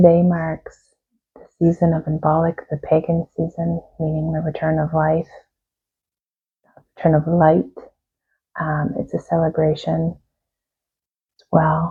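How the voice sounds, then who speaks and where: Soft-spoken and somewhat breathy, a woman talks at a fairly slow pace in a very deep, low pitch, with a calm tone, monotone flat intonation, and long, frequent pauses. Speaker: tarot reader and reiki practitioner. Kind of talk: guided meditation. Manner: calm, slow.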